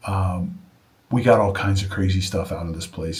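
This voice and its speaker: A man's somewhat breathy, fairly low voice at a moderate pace, with audible room echo. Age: 60s. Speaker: junk removal business owner. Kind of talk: casual vlog monologue. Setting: home studio. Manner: halting, with many fillers and restarts.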